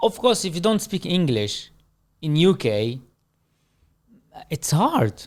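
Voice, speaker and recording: A man with a high pitch and a non-native accent speaks at a very slow pace, swinging his pitch very widely and leaving long, frequent pauses. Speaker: manager. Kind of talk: casual interview chat.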